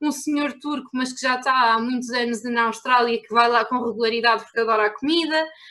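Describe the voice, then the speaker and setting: A woman with a European Portuguese accent speaks in a bright, sharp tone. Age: 20s. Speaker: travel blogger. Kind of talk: casual chat. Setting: remote call from home.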